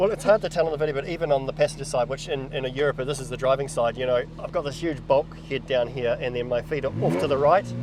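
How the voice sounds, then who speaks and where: Over noticeable background noise, a man of medium pitch talks at a very fast pace in a New Zealand accent, with hardly any pauses. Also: ordinary pitch variation. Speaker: car reviewer, channel host. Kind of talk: casual car review chat. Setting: in a car. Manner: loud, shouting over engine.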